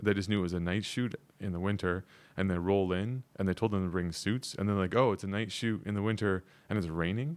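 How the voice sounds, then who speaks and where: Speaking at a fairly quick pace with a Canadian accent, a man has a plain, everyday voice and fairly low pitch, captured in a very clean recording with a silent background. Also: fairly even intonation. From Canada. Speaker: actor and model. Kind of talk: casual chat.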